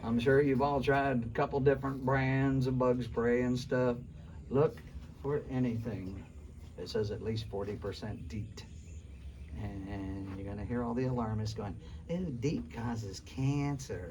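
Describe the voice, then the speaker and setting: A man speaks at a fairly slow pace and medium pitch with ordinary pitch variation. His voice is somewhat breathy, with audible room echo. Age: 60s. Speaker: survival skills instructor. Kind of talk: classroom lecture. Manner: animated.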